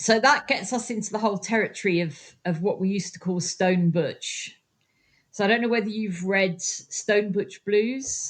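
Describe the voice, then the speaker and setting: A woman's somewhat breathy, medium-pitched voice at a moderate pace with ordinary pitch variation. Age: 60s. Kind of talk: interview answer.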